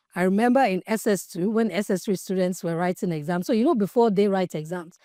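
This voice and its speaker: On a very clean recording with a silent background, a woman speaks very fast at a medium pitch, with a dark, mellow tone and ordinary pitch variation. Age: 40s. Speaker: podcast host. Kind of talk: podcast monologue. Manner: raw, unfiltered.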